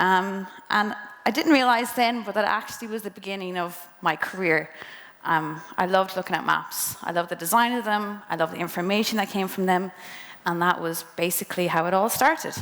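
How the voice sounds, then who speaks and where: A woman with a western Irish accent at a medium pitch, ordinary pitch variation and a fairly quick pace, over noticeable background noise. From Ireland, County Mayo. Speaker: speaker at a career talk. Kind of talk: presentation to students.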